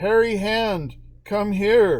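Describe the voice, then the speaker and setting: A female-sounding voice puts on a character voice at a medium pitch. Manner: menacing.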